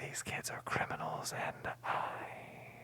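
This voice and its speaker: The speaker is whispering in a playful tone. Noticeable background noise is present. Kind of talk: ASMR movie recap, whispered commentary. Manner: whispered, soft-spoken, playful and jokey.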